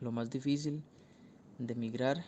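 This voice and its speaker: A man with a Costa Rican accent talks in a medium pitch with a dark, mellow tone and fairly even intonation. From Costa Rica, Turrialba. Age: 20s. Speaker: architecture student. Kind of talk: recorded interview answer.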